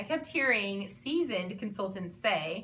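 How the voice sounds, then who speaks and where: The speaker has an animated tone with very wide pitch swings. Audible room echo and noticeable background noise fill the recording. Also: woman. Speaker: online clothing seller and vlogger. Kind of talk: vlog monologue. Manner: fast.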